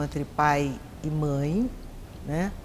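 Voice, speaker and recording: A woman speaks very slowly with lively intonation as the room's echo can be heard. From Brazil, Minas Gerais, raised in São Paulo from 13. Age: 70s. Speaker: actress. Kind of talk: documentary interview.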